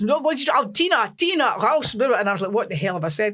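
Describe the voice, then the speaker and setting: Very fast speech in a Scottish accent. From Scotland, Lanarkshire. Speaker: singer. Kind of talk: casual chat.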